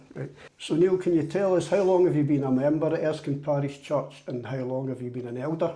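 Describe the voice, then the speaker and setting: The speaker talks with a Glaswegian accent and ordinary pitch variation. Room echo is audible. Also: man, fairly high pitch for a man, fairly quick pace. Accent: Glaswegian Scottish. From Scotland, Glasgow (Drumchapel). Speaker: church interviewer. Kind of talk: interview.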